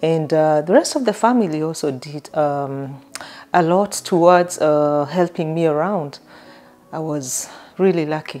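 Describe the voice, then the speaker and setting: With a Kenyan accent, a woman speaks at a fairly slow pace in a very deep, low voice with ordinary pitch variation. Music plays in the background. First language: not English (Kenyan language). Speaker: vlogger. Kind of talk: personal storytelling. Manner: hesitant, many fillers.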